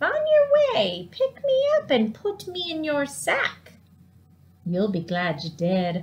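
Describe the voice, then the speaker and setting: A put-on character voice from a woman at a fairly slow pace. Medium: read story. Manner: coaxing.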